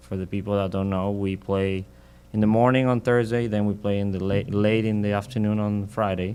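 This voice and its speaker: With a Mexican accent, a man speaks fairly quickly in a fairly low pitch, his dark, mellow tone held in a monotone, flat intonation. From Mexico. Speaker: professional golfer. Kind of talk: interview. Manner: halting.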